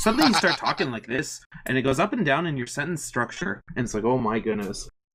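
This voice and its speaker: Putting on a character voice, a man talks at a very fast pace in a sing-song, medium-pitched voice. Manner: sing-song, pitch rising and falling through sentences.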